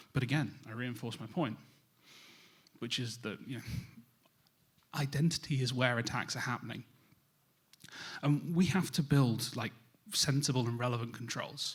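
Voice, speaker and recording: A man speaks at a moderate pace with long, frequent pauses. His medium-pitched voice is somewhat breathy, with ordinary pitch variation. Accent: British. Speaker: cybersecurity vendor specialist, conference speaker. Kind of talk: conference presentation.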